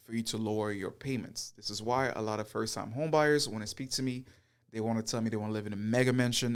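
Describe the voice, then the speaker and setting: A man talks very fast in an animated tone, on a very clean recording with a silent background. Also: medium pitch for a man. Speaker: realtor and real estate youtuber. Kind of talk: tutorial. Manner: partly unscripted, stumbling.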